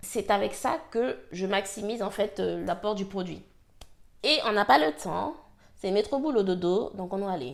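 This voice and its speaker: A fairly slow, lively voice with vocal fry. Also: woman, medium pitch for a woman. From French Guiana. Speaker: hair care vlogger. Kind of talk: casual talk to camera, product review.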